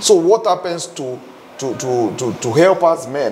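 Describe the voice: A man speaks at medium pitch and a fairly slow pace, with a slightly mellow tone. His intonation is lively, with faint background noise behind him.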